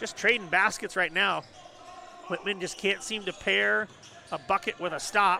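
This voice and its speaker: With noticeable background noise, a man speaks in a high pitch and a monotone, flat intonation, leaving long, frequent pauses. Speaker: play-by-play announcer. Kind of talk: live commentary. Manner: fast.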